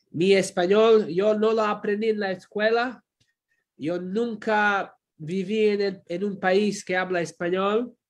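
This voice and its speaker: A man with a non-native accent speaks very slowly in a high voice, his intonation fairly even. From Croatia. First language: Croatian (speaking Spanish). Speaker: pastor and theology professor. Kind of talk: sermon. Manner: halting.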